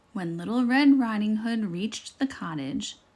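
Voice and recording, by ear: The intonation rises and falls in a lively way. The text is read aloud in a natural voice.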